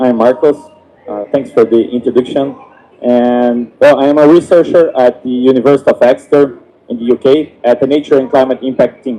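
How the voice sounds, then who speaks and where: This man talks at a fairly quick pace in a medium pitch with fairly even intonation. Noticeable noise sits in the background. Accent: Portuguese. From Brazil, Rio Grande do Sul. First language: Portuguese. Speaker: climate researcher. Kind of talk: panel discussion.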